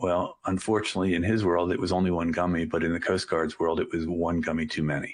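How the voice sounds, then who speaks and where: Against a quiet background, a man with a very deep, low pitch talks at a very fast pace with hardly any pauses, very even loudness and fairly even intonation. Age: 60s. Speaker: sea captain and maritime school founder. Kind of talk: webinar presentation.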